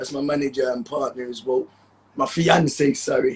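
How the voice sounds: A man speaks with a Jamaican accent at a medium pitch. His voice has a husky, rough edge and vocal fry.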